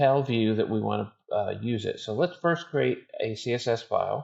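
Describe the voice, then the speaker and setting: A man mumbles his words. He talks at a fairly slow pace. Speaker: software developer and online course author. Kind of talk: live coding stream tutorial. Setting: home office live stream. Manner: mumbling; trying to speak louder.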